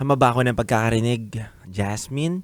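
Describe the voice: A man at medium pitch, talking at a moderate pace.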